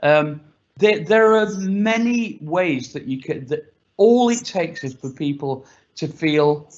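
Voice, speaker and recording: A man speaks very slowly in a high voice. His intonation is lively. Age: 60s. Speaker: panelist. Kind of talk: panel discussion.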